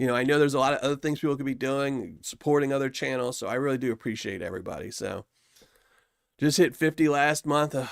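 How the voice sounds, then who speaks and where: A man with an American accent talks at a very fast pace, with fairly high pitch and ordinary pitch variation. The recording is very clean, with a silent background. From US South. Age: 50s. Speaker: YouTuber reviewing gold paydirt. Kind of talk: live stream chat with viewers. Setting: live stream. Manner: casual, rambling.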